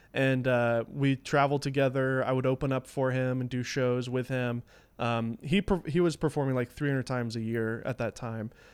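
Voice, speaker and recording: On a very clean recording with a silent background, a man with an American accent talks at a moderate pace in a medium pitch, an unremarkable speaking voice with fairly even intonation. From US South. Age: 30s. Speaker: filmmaker and former magician. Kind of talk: casual chat.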